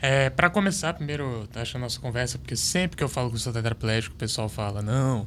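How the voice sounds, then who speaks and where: Speaking at a very fast pace with hardly any pauses, a man uses lively intonation. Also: medium pitch for a man. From Brasília, Brazil. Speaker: para table tennis athlete. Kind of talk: podcast interview.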